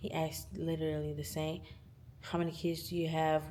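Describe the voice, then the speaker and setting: A woman speaks at a moderate pace, with audible room echo. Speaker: vlogger. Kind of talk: casual vlog chat.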